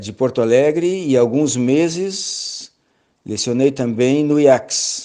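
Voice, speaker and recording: Speaking very slowly, a man uses a fairly high pitch, a dark, mellow tone and ordinary pitch variation. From southern Brazil, Rio Grande do Sul (Pelotas). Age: 60s. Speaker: lecturer, church elder and biology teacher. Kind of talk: lecture. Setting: online seminar. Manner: halting.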